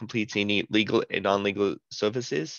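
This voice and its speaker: The man's voice sounds dry with no echo against a quiet background. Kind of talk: self-introduction in meeting. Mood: friendly, smiling. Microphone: headset.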